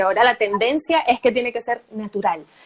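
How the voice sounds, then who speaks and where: A woman's high-pitched voice at a moderate pace with ordinary pitch variation, dry and close with no echo, over noticeable background noise. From Venezuela. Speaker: voice-over artist and journalist. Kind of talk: interview answer. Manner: natural, conversational.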